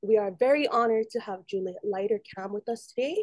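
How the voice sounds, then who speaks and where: At a moderate pace, a woman with a normal speaking voice talks at a fairly high pitch, the sound dry and close with no echo. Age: 20s. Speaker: student podcast host. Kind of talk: interview; scripted intro.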